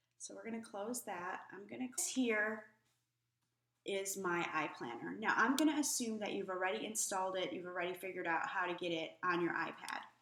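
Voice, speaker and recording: Speaking at a fairly quick pace, a woman with a medium pitch, a bright, sharp tone and vocal fry makes very wide pitch swings amid audible room echo. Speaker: planner tutorial youtuber. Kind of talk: screen-recorded tutorial. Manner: hesitant, many fillers.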